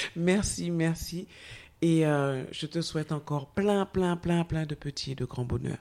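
A woman with a dark, mellow tone is speaking. Her pace is fairly slow and her pitch varies in an ordinary way. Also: fairly low pitch for a woman. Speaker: podcast host. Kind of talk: interview intro and questions. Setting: studio. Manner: hesitant, many fillers.

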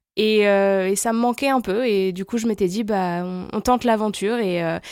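The recording is very clean with a silent background. A woman speaks at a moderate pace and medium pitch, with fairly even intonation. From France, La Rochelle and Paris region. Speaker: expat guest, communications professional. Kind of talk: interview. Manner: hesitant with many fillers.

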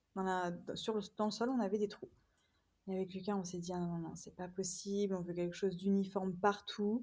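A woman's somewhat breathy, dark, mellow voice at a medium pitch, fairly quick and monotone, with flat intonation. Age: 30s. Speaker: home renovator and holiday rental owner. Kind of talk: casual interview. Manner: hesitant, many fillers.

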